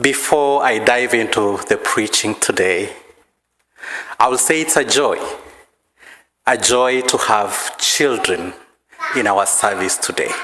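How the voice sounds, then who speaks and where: Speaking at a very slow pace with long, frequent pauses, a man with a Kenyan accent holds a medium pitch, ordinary pitch variation and very even loudness, with audible room echo. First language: Maragoli. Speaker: preacher. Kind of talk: sermon.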